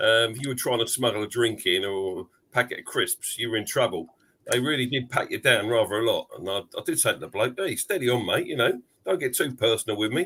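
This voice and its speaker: A man with a London accent at a fairly quick pace. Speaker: football podcast panelist. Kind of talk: casual chat. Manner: hesitant, many fillers.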